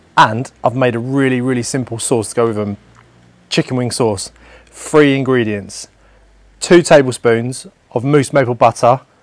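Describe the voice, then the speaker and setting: Recorded dry with no echo, a man speaks at a moderate pace with ordinary pitch variation. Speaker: presenter. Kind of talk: cooking tutorial. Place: garden.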